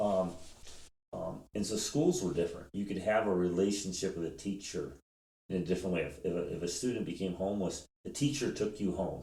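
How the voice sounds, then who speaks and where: Here a man speaks at a fairly quick pace with a very deep, low pitch and a dark, mellow tone. His pitch varies in an ordinary way, and room echo is audible. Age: 50s. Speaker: homeless shelter director. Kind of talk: podcast interview.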